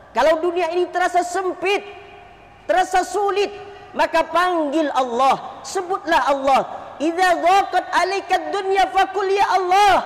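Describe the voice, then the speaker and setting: A man speaks at a fairly slow pace with an extremely high pitch. His pitch varies in an ordinary way. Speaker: Islamic preacher. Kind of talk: Friday sermon.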